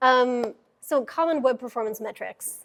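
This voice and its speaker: The recording is very clean, with a silent background. A woman talks with ordinary pitch variation. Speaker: software engineer, conference speaker. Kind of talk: technical talk to a live audience. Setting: meetup room with audience. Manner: casual, many fillers.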